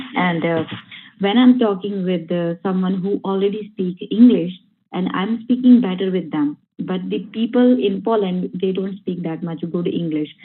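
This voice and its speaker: A woman with a Punjabi accent talks with ordinary pitch variation. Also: medium pitch for a woman, moderate pace. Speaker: workshop participant. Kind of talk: answering in class. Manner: halting, many fillers.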